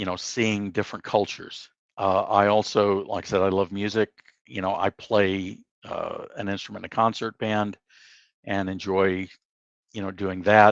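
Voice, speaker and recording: A man speaks at a moderate pace in a fairly low pitch with monotone, flat intonation, his voice dry and close with no echo against a quiet background. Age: 70s. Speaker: veteran software engineer. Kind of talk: interview. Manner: hesitant, many fillers.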